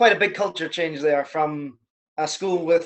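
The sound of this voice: Speaking at a slow pace, a man has a fairly high pitch. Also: fairly bright tone.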